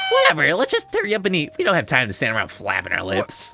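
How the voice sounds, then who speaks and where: A put-on character voice at middle pitch and a very fast pace, with clear background noise. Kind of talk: gruff, commanding. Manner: angry, barking, irritated.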